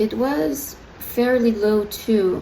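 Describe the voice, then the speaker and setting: With noticeable background noise and audible echo from the room, a woman's medium-pitched voice varies in pitch in an ordinary way. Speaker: adoptee vlogger. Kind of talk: personal video diary. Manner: slow; hesitant, many fillers.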